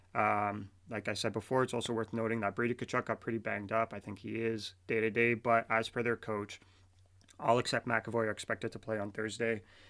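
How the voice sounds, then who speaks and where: A man with a Canadian accent speaks fairly quickly in a flat monotone at a medium pitch, on a very clean recording with a silent background. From Canada. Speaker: sports podcaster. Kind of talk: sports podcast commentary. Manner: halting, stuttering.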